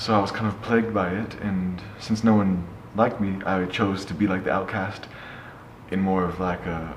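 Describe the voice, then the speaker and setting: A man with an American accent speaks at a moderate pace in a very deep, low pitch with fairly even intonation. The recording carries audible room echo and noticeable background noise. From US West Coast, Oakland California. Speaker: slam poet and public speaker. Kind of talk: interview, personal story. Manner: hesitant, many fillers and restarts.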